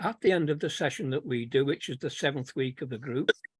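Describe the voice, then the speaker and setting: This is a man speaking with a Manchester accent. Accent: Manchester accent retained. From Manchester, northern England. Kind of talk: webinar testimony.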